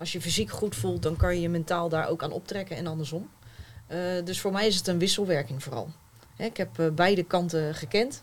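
A woman's fairly low voice with vocal fry, lively intonation, and a fairly quick pace. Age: 30s. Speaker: author. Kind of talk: panel discussion.

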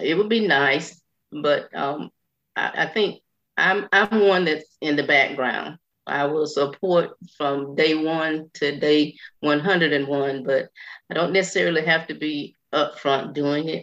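A woman's very deep, low voice in a very slow Southern US accent. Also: ordinary pitch variation. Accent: Southern US (Georgia). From US South, Burke County, Georgia. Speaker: retired school employee, widow of a commissioner. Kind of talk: radio interview.

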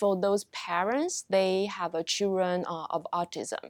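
A woman's medium-pitched voice at a fairly slow pace, dry and close with no echo, on a very clean recording with a silent background. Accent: Taiwanese. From Taiwan. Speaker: marriage and family therapy professor. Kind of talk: interview. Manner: halting, many fillers.

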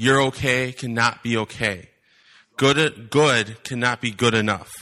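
Against a quiet background, a man speaks at a fairly slow pace with a medium pitch and a bright, sharp tone. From US Midwest, Wisconsin. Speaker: visiting preacher. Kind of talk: sermon. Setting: church.

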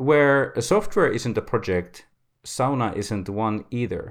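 On a very clean recording with a silent background, a man with a Finnish accent speaks fairly slowly at a medium pitch with lively intonation. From Finland. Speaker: podcast host. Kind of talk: semi-scripted solo podcast talk.

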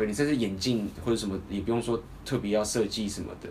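A man speaks at a fairly quick pace with a Taiwanese accent, his medium pitch showing ordinary variation. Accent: Taiwanese Mandarin. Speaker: dating coach and podcast host. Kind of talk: casual chat.

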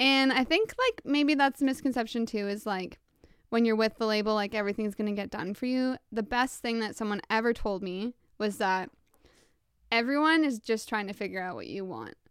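A woman's normal speaking voice with a Canadian accent, fairly high pitch, ordinary pitch variation and a fairly quick pace. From Ontario, Canada (small town). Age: 20s. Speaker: pop singer. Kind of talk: casual interview. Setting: remote recording.

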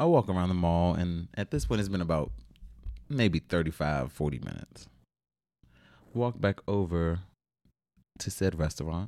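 A man with an American accent, a very deep, low pitch and a dark, mellow tone, at a fairly slow pace with long, frequent pauses and lively intonation. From Washington D.C. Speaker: guest, delivery driver. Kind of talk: casual chat.

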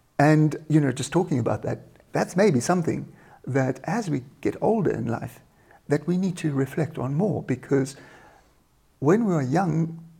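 A man with a fairly high pitch and a dark, mellow tone sounds somewhat breathy, speaking at a moderate pace with ordinary pitch variation and long, frequent pauses. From South Africa, small town. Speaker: leadership coach and trainer. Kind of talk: interview.

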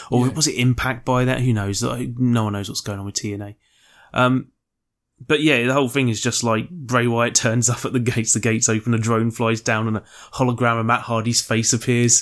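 Speaking at a fairly quick pace, a man with a medium-pitched voice keeps a monotone, flat intonation. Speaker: podcast co-host. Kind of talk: casual chat.

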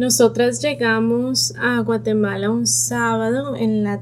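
A woman talks at a very slow pace in a very deep, low pitch with a monotone, flat intonation. Audible room echo surrounds her voice. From Colombia, Bogotá. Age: 30s. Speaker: pediatric neurologist. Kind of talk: personal testimony.

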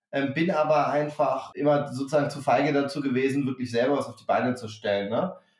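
With an unremarkable speaking voice, a man talks at a fairly quick pace and fairly high pitch, his intonation fairly even but his loudness swinging widely. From northern Germany, Hamburg. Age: 40s. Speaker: startup founder. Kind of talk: interview.

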